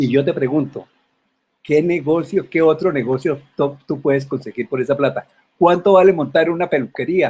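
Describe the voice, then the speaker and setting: Speech comes at a moderate pace. The pitch varies in an ordinary way, and the voice is somewhat breathy. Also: man, fairly high pitch for a man. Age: 70s. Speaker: retired online business promoter. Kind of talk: sales pitch. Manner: halting, frequent fillers.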